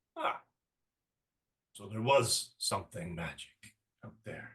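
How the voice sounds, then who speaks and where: In a put-on character voice, a man talks at a fairly slow pace with a raspy, fairly low pitch. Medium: actual play. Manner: menacing.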